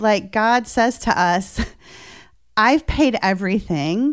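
Speech at a very slow pace with very wide pitch swings comes through a very clean recording with a silent background. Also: woman. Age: 50s. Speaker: nonprofit founder and president. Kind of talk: interview. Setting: studio.

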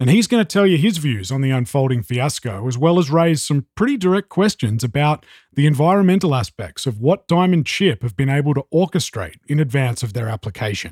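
A man with an Australian accent talks at a fairly quick pace with hardly any pauses, his fairly high, somewhat breathy voice making very wide pitch swings in a very clean, dry, close recording with a silent background and no echo. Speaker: podcast host. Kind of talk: podcast interview and analysis.

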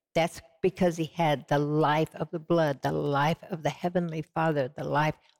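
With a Southern US accent, a woman speaks in a very deep, low, flat monotone, the sound dry and close with no echo. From US South, Georgia and Texas. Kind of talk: interview testimony. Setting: TV studio set.

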